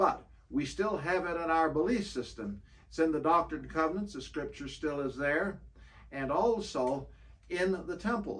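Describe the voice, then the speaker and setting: In a room with audible echo, a man with a fairly high pitch talks at a moderate pace with lively intonation. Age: 70s. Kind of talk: interview.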